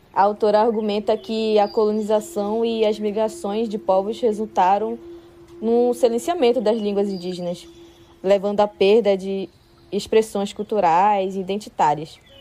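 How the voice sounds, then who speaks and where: Dark and mellow in tone, a woman talks at a medium pitch and a moderate pace with ordinary pitch variation. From northwestern Amazonas, Brazil (São Gabriel da Cachoeira). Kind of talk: personal testimony.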